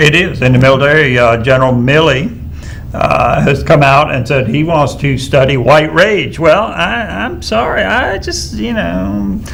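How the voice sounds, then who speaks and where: At a fairly slow pace, a man with a fairly high pitch speaks with very wide pitch swings, amid audible room echo and noticeable background noise. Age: 60s. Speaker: political talk show co-host, military veteran. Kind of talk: political discussion.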